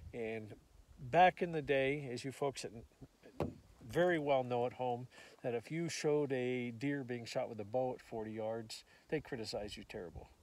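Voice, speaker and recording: A man speaks at a moderate pace and a medium pitch. He uses ordinary pitch variation and takes long, frequent pauses. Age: 60s. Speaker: rifle builder and long-range shooter. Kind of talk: interview storytelling. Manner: halting, many fillers.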